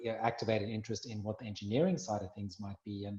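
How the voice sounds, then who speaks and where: A man speaks in a medium pitch with a South African accent. His voice is somewhat breathy. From South Africa, Cape Town. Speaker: minerals industry representative, former mining lecturer. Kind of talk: interview.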